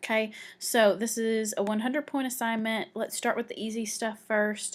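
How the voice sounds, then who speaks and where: With an ordinary speaking voice, a woman talks at a fairly high pitch and with fairly even intonation in a very clean recording with a silent background. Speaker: teacher. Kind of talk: tutorial.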